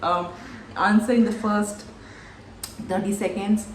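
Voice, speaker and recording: A woman with a fairly high voice speaks at a moderate pace in a flat monotone, with audible room echo and noticeable background noise. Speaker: recruiter and career coach. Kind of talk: tutorial.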